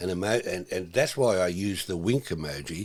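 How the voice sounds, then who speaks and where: With an Australian accent, a man talks at a moderate pace and with ordinary pitch variation. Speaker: educator and webcast host. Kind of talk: casual chat. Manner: animated.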